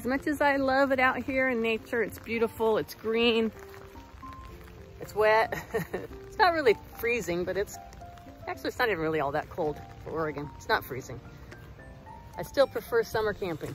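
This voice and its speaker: Faint music plays in the background as a woman speaks fairly quickly with big swings in loudness and a dry sound with no echo. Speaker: camping vlogger. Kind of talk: casual vlog chat. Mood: cheerful, laughing. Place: rain. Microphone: phone near.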